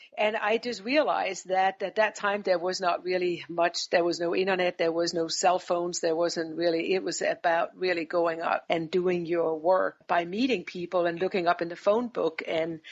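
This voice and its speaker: Hardly pausing, a woman speaks at a moderate pace with fairly even intonation and a fairly low pitch. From Denmark. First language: Danish. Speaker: business executive. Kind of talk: interview. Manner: hesitant, with fillers.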